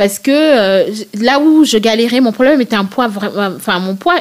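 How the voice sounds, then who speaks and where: A woman speaks at a moderate pace in a fairly high voice. Her intonation is lively. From Senegal (Thiès, Dakar). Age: 30s. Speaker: plus-size fashion blogger. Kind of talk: interview conversation. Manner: hesitant, many fillers.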